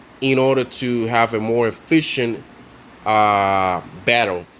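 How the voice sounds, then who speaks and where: This man has a non-native accent, a medium pitch and ordinary pitch variation. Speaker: mobile game tutorial creator. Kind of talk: casual game tutorial voice-over. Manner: hesitant, many fillers.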